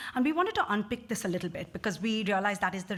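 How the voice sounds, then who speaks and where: A woman with a fairly high pitch at a very fast pace, over noticeable background noise. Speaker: social care researcher. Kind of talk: conference talk.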